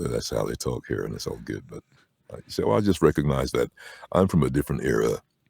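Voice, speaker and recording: A man with a very deep, low voice and vocal fry talks at a very fast pace, with lively intonation and big swings in loudness. The sound is dry and close, with no echo. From Barbados. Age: 60s. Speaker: voice-over artist. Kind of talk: casual chat. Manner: animated.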